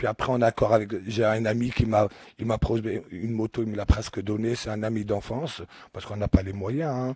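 The man's medium-pitched voice is somewhat breathy, with a dark, mellow tone and fairly even intonation. He moves at a fairly quick pace in a dry, close sound with no echo. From Algeria. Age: 50s. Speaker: charity shop worker. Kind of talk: radio interview with children. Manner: halting.

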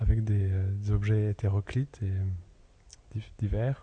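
Dark and mellow in tone, a man's voice comes through somewhat breathy. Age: 30s. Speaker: sculptor. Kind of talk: interview. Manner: halting, searching for words.

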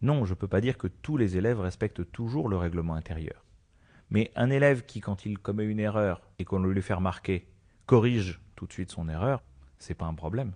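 Against a quiet background, a man speaks fairly quickly with a fairly low pitch, ordinary pitch variation and a dark, mellow tone. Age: 40s. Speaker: school education counsellor. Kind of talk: radio interview by children.

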